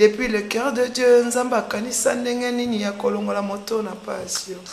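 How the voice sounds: Audible room echo surrounds a woman whose fairly high voice has a slightly mellow tone, fairly even intonation and a moderate pace.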